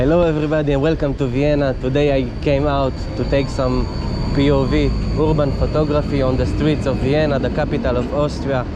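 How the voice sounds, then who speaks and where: In a room with audible echo and noticeable background noise, a man with a non-native accent talks at a fairly quick pace with very even loudness. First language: not English. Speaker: photography vlogger. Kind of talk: casual vlog narration while walking. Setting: outdoors on city streets. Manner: halting, with pauses.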